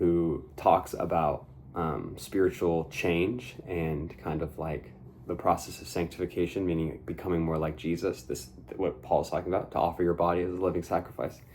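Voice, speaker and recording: This quiet voice moves at a moderate pace with fairly even intonation. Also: man, very deep, low pitch for a man. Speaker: men's ministry leader. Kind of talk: devotional talk. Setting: at home. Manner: speaking quietly.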